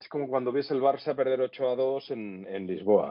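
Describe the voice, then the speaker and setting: A man uses an unremarkable speaking voice, keeping a moderate pace. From Catalonia, Spain (Sitges / Tarragona area). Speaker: former radio host. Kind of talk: casual interview.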